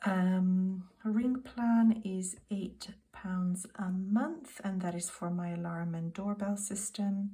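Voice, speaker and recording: A woman's medium-pitched, somewhat breathy voice with a British accent, dark and mellow in tone, at a very slow pace with hardly any pauses and ordinary pitch variation. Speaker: budgeting vlogger. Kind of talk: casual monologue to camera. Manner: soft-spoken.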